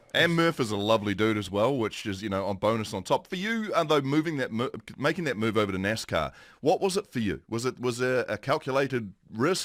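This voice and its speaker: A man with a New Zealand accent speaks at a fairly quick pace, his medium pitch carried by lively intonation. The recording is very clean, with a silent background. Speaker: morning TV host. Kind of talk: interview.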